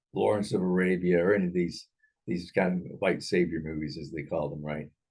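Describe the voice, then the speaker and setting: A man's very deep, low voice at a fairly quick pace with ordinary pitch variation. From Thailand. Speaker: film discussion show host. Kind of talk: casual chat. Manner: halting, many repetitions.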